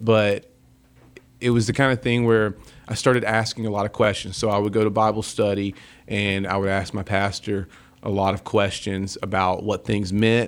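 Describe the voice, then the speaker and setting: In a Southern US accent, a man speaks at a moderate pace in a fairly low voice. The recording is very clean, with a silent background. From US South. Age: 30s. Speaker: rock band lead singer. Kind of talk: casual interview chat. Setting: studio. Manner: animated.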